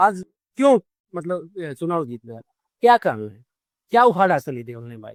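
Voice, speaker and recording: The sound is dry and close with no echo as a man speaks in a Haryana accent. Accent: Haryanvi. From Haryana, India. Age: 30s. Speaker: content creator. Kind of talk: interview answer. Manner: outspoken, blunt.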